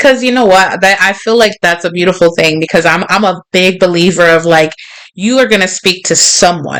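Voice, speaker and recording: Speaking in a New York accent, a woman sounds animated at a fairly quick pace. Her pitch is medium, with ordinary pitch variation. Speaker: podcast host. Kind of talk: casual chat. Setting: livestream with chat.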